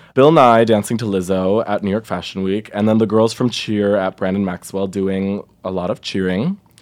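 A man talks in a fairly low pitch with fairly even intonation. His pace is moderate, with hardly any pauses. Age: 20s. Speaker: podcast co-host. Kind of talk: casual chat.

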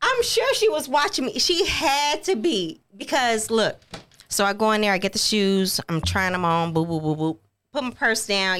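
Here a woman speaks at a fairly high pitch with an American accent. Her pitch swings very widely. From Texas. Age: 30s. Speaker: podcast co-host, business owner. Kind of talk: casual chat.

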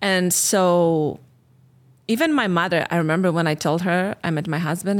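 A woman's fairly low voice with a Polish accent, fairly even intonation, and a moderate pace, on a very clean recording with a silent background. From Poland. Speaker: relationship coach and podcast host. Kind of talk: casual chat.

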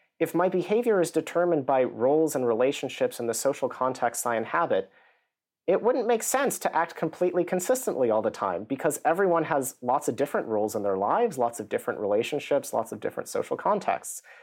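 A man's fairly high, very fast voice with an American accent, vocal fry and very wide pitch swings. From US. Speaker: psychology professor. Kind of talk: interview.

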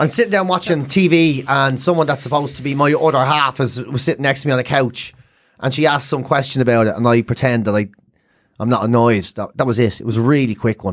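Someone with an Irish accent talks very fast with ordinary pitch variation. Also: man, medium pitch for a man. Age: 40s. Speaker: comedian. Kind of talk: casual chat.

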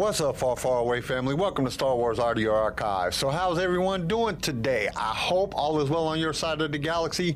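Music plays in the background while a man talks at a fairly quick pace with hardly any pauses. His pitch is fairly high and his intonation lively. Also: very even loudness. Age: 40s. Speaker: podcast host. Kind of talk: casual chat.

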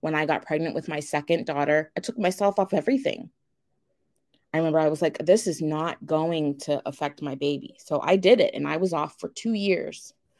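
A woman with a plain, everyday voice speaks at a fairly low pitch with ordinary pitch variation, on a very clean recording with a silent background. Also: fairly quick pace. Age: 30s. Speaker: abuse survivor, tax office manager. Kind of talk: interview testimony.

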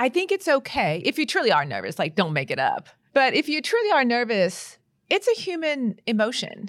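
On a very clean recording with a silent background, a woman with vocal fry speaks at a moderate pace. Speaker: trial attorney. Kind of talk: casual roundtable discussion.

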